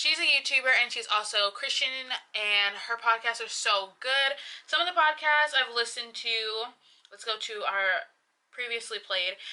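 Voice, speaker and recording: Bright and sharp, a woman's fairly high voice carries an animated tone with ordinary pitch variation. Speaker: YouTuber. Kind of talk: casual vlog talk. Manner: fast.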